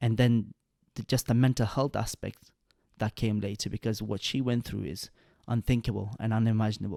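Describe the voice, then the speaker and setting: A man's dark, mellow voice at a fairly quick pace, fairly even in intonation, in a very clean recording with a silent background and a dry, close sound with no echo. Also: medium pitch for a man. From Pakistan, Swat Valley. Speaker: podcast host. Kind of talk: interview. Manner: halting.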